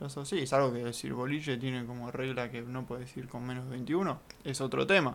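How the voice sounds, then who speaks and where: Speaking with a Rioplatense accent, a man talks at a fairly quick pace with medium pitch and fairly even intonation. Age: 20s. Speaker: podcast co-host. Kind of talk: casual chat.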